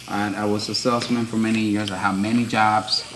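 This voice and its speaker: The voice comes in a Dominican accent, with audible room echo and noticeable background noise. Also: man. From Dominican Republic. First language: Spanish. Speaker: tattoo artist. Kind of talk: casual chat. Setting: live stream. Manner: hesitant, many fillers.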